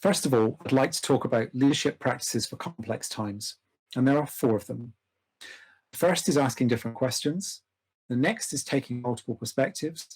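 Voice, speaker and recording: With a British accent, a man talks at a moderate pace. His pitch is medium, with ordinary variation. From UK. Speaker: organization development practitioner. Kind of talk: lecture. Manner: formal.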